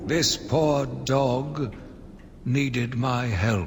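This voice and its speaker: Over clear background noise, a man puts on a raspy character voice at a medium pitch. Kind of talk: dark confessional monologue. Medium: video game. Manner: measured, brooding.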